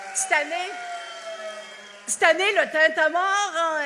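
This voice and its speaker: Over noticeable background noise, a woman with an Acadian accent speaks in a raised, projected voice with lively intonation. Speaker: actress giving a national speech. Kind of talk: festival speech. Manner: animated.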